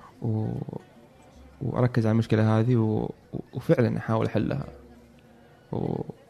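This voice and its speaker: Music plays behind a man who speaks at a medium pitch and a moderate pace. He leaves long, frequent pauses, and his pitch variation is ordinary. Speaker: electrical engineer. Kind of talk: interview. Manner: halting.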